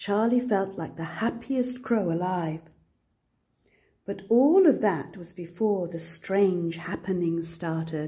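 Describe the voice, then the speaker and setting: Very slow pace, somewhat breathy, dark, mellow tone and big swings in loudness. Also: woman, medium pitch for a woman, ordinary pitch variation. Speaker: grandmother. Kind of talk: children's picture book read-aloud.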